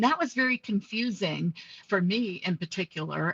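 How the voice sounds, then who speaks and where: Somewhat breathy and with lively intonation, a woman speaks in a dry, close sound with no echo. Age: 60s. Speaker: nurse and bariatric surgery patient. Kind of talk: interview testimony.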